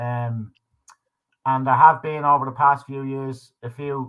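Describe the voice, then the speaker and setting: A fairly high-pitched man's voice with an Irish accent. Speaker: livestream talk show host. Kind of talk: casual chat. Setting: live stream.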